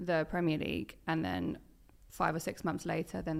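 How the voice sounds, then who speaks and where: A woman with a very deep, low pitch and vocal fry swings very widely in pitch. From East Anglia, Suffolk. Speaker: football presenter and content creator. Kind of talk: casual chat.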